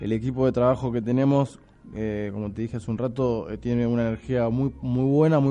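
A man's medium-pitched voice moves at a fairly quick pace, its intonation fairly even. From Argentina, Buenos Aires. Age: 30s. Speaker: restaurant owner. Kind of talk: radio interview. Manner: halting, many fillers.

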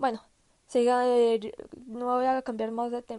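Her pitch high, a woman talks at a very slow pace. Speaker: podcaster sharing personal health story. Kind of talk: personal monologue. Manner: halting, many fillers and restarts.

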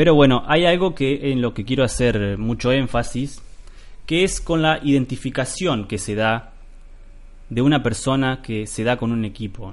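Someone speaks at a fairly slow pace in a Rioplatense accent. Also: man, medium pitch for a man, ordinary pitch variation. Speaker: podcast host. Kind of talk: solo podcast monologue. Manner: hesitant, many fillers.

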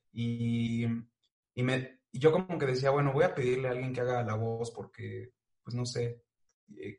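A man of medium pitch talks at a fairly slow pace, somewhat breathy, with fairly even intonation. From Mexico. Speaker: animator and voice-over artist. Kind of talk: casual chat.

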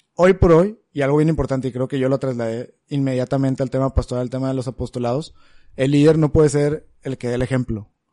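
A man with a dark, mellow tone talks at a very fast pace in fairly even intonation, the sound dry and close with no echo. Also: medium pitch for a man. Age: 20s. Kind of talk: casual chat.

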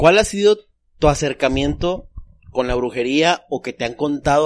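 At a moderate pace, a man with a normal speaking voice talks at a fairly high pitch with lively intonation. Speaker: podcast host. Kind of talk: casual chat. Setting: studio.

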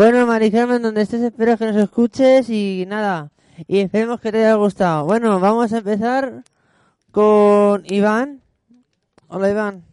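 Heard in a dry, close sound with no echo, a man speaks at a high pitch with fairly even intonation. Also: fairly slow pace. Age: 20s. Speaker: radio host. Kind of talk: casual chat. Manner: halting.

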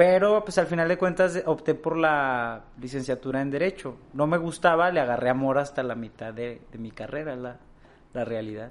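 This man has an unremarkable speaking voice, fairly high in pitch with ordinary pitch variation. He keeps a moderate pace, but his loudness swings widely. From Mexico, Torreón (Coahuila). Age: 20s. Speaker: young politician and activist. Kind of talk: interview.

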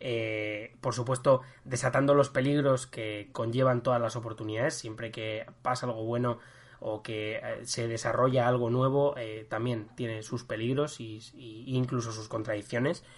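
Monotone, flat intonation marks this man's somewhat breathy delivery. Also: medium pitch for a man, fairly slow pace. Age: 20s. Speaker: history podcast host. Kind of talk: casual chat. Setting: recording from home. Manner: halting.

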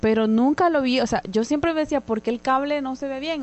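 Her voice sits at a high pitch, and the woman keeps a moderate pace with ordinary pitch variation. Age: 30s. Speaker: podcast co-host. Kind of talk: casual chat.

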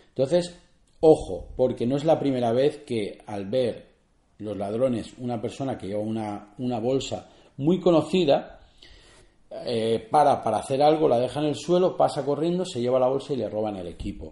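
A man speaks at a moderate pace in a medium-pitched voice with a dark, mellow tone and lively intonation. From Spain, Barcelona. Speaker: photographer and podcast host. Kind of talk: solo podcast tutorial. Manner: halting, with many fillers and repetitions.

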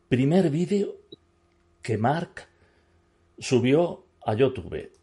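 With music in the background, a man speaks at a very slow pace with lively intonation and long, frequent pauses. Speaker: podcast host. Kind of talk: casual interview. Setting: cinema screening room. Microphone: echo on his voice.

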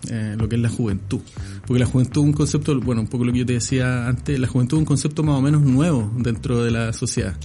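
Noticeable background noise sits under a man speaking at a very fast pace with very even loudness. His pitch is medium, with ordinary variation. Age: 40s. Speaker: political analyst. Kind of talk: interview.

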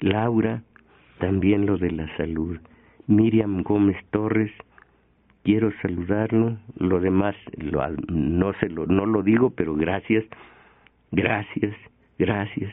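A man's fairly low voice at a very slow pace, broken by long, frequent pauses. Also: ordinary pitch variation. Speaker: radio host. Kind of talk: radio commentary.

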